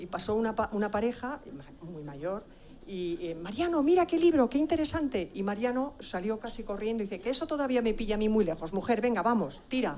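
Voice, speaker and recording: Her voice fairly high, a woman talks at a fairly quick pace with very wide pitch swings. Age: 60s. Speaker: author, audience member. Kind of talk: question from the floor at a conference. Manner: halting.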